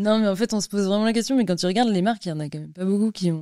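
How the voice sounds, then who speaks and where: Over a silent background in a very clean recording, a woman speaks at a medium pitch in a dark, mellow tone with ordinary pitch variation. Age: 30s. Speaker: entrepreneur, company founder. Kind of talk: interview. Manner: casual.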